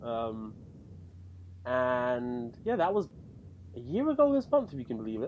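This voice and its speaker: A man with an English accent at a fairly slow pace, with long, frequent pauses. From London, England. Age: 20s. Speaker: podcast co-host and lay church teacher. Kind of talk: casual chat.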